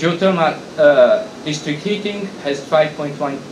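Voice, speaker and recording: Lively intonation marks this man's speech, which carries audible room echo and noticeable background noise. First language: Hungarian. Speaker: industry association president. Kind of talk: conference talk. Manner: halting.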